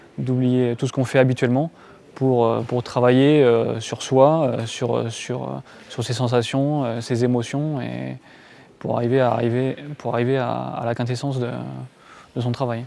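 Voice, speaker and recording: Using a dark, mellow tone and monotone, flat intonation, a man talks at medium pitch and a fairly slow pace with long, frequent pauses. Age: 20s. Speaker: karate practitioner. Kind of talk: interview. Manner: halting, many hesitations.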